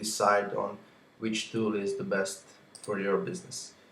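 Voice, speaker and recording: A man talks at a moderate pace, his fairly low pitch held in fairly even intonation. Noticeable background noise and audible room echo surround him. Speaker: software reviewer. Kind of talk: tutorial.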